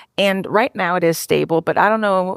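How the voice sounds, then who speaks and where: In a very clean recording with a silent background and a dry, close sound free of echo, a woman with an American accent speaks at a moderate pace with medium pitch. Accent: Cajun accent, comes out when tired. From US South, Louisiana (Cajun family). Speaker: software developer and author. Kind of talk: live podcast interview. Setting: stage with live audience.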